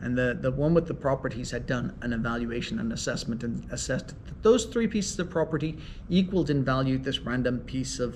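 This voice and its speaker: A man talks at a very fast pace with an Irish accent. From Ireland. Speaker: mediator and law professor. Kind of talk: interview.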